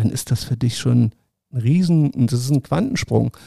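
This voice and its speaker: A man's somewhat breathy voice at medium pitch, with a dark, mellow tone and fairly even intonation. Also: dry, close sound with no echo. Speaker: sports journalist and former Paralympic swimmer. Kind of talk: interview.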